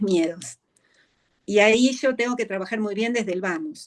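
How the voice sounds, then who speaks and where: With lively intonation, a woman speaks in a fairly high pitch. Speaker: veterinary behaviorist. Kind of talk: interview.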